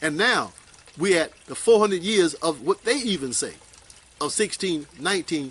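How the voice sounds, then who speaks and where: With lively intonation and a moderate pace, a high-voiced man talks over noticeable background noise. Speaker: Nation of Islam teacher. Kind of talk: religious lecture answering questions.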